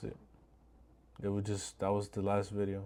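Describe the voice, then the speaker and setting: In a very clean recording with a silent background, a man speaks at a moderate pace with a fairly low pitch and a dark, mellow tone. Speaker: vlogger. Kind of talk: casual monologue. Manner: halting.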